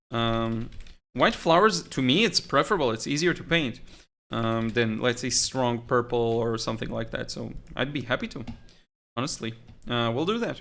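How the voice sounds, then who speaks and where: A man speaks at a moderate pace with a slight Israeli accent. The recording is very clean, with a silent background. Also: medium pitch for a man, ordinary pitch variation. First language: Hebrew. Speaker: watercolor artist and teacher. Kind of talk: live stream chat. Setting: live stream. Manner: halting.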